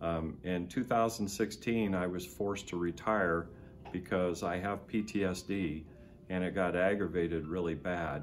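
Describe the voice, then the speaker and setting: A man with an American accent speaks in a very deep, low voice with fairly even intonation, with audible room echo and music playing in the background. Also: moderate pace. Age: 60s. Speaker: war veteran. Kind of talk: testimony. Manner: halting.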